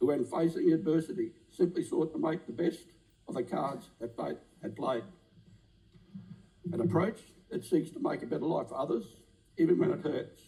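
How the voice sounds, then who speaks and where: A man speaks with an Australian accent at a moderate pace. He makes long, frequent pauses. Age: 60s. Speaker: politician. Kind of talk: parliamentary maiden speech. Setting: parliament chamber. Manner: impassioned; formal.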